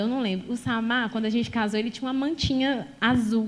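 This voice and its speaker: A woman's animated voice at a fairly quick pace. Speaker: pastor. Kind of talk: sermon. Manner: fast.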